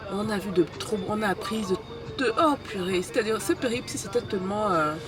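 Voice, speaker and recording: A woman speaks at a medium pitch while music sounds in the background. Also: ordinary pitch variation, moderate pace. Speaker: travel vlogger and business youtuber. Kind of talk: casual travel vlog. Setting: on the road while travelling.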